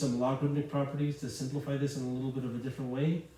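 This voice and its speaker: A man speaks with a monotone, flat intonation. There is audible room echo. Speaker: math teacher. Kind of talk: lecture. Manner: fast; casual, with fillers.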